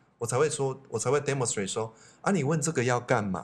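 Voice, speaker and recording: A man talks at a medium pitch with ordinary pitch variation. His voice is somewhat breathy. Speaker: psychology expert, teacher, podcast co-host. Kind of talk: casual chat.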